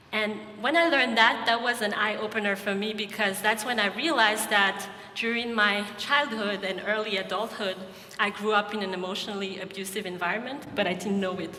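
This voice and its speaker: A woman with a Malagasy accent talks at a fairly quick pace and a medium pitch with fairly even intonation, amid noticeable background noise and audible room echo. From Madagascar. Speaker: nonprofit founder. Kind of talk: pitch talk. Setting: stage with audience.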